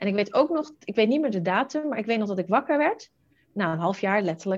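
Her medium-pitched voice is somewhat breathy, and the woman talks at a fairly quick pace. Her intonation is lively. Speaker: entrepreneur, virtual assistant matchmaker. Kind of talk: interview conversation. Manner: fast.

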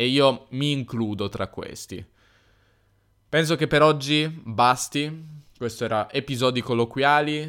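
In a very clean recording with a silent background, a man speaks at a very slow pace with long, frequent pauses, using a medium pitch and ordinary pitch variation. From northern Italy, Piedmont (Turin). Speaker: language teacher podcaster. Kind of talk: casual educational monologue. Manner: hesitant, with fillers and self-repairs.

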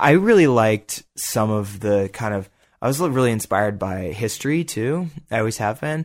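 On a very clean recording with a silent background, a man with an American accent and an ordinary speaking voice talks at a moderate pace in a medium pitch. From Boulder, Colorado, US. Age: 20s. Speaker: rock climber. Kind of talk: casual interview.

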